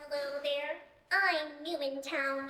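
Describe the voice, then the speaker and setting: A woman's high-pitched, put-on character voice with slight echo. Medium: stage play. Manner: smug, condescending.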